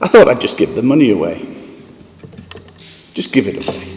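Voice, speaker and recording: A man in a northeast English accent talks over noticeable background noise. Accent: northeast English (Sunderland). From northeast England, Sunderland. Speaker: philanthropist. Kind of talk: conference talk.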